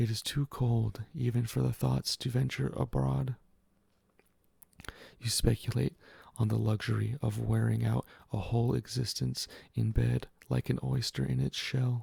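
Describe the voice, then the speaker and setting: A soft-spoken man at a fairly slow pace, with long, frequent pauses, in a dry, close sound with no echo. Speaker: ASMR reader. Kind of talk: ASMR reading of a literary story. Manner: soft, quiet.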